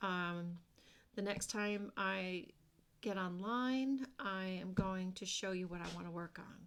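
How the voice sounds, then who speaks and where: Soft-spoken and mumbling, a woman talks at a very slow pace in a very clean recording with a silent background. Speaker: craft vlogger. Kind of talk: casual chat.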